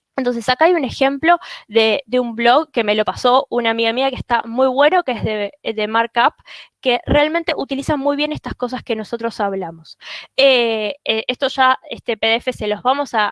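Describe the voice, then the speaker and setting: In a dry, close sound with no echo, a woman talks at a high pitch with ordinary pitch variation. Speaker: SEO specialist. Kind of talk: webinar presentation. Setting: live webinar. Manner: fast.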